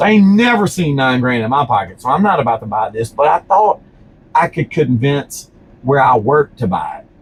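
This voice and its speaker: With a Louisiana accent, a man speaks at a moderate pace in a fairly high voice. His tone is animated, and his pitch swings very widely. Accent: Louisiana Southern US. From Louisiana, Baton Rouge. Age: 40s. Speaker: business owner. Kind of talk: casual interview chat. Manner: animated storytelling.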